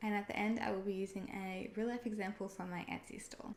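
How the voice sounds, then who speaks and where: Noticeable background noise surrounds a woman speaking at a fairly quick pace with an Australian accent. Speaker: online seller and video creator. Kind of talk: tutorial. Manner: casual, conversational.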